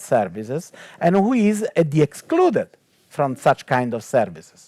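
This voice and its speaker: This man's voice is fairly high and moves at a moderate pace. The sound is dry and close, with no echo. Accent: Italian. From Italy. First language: Italian. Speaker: technology ethicist and theologian. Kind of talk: panel talk. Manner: hesitant, many fillers.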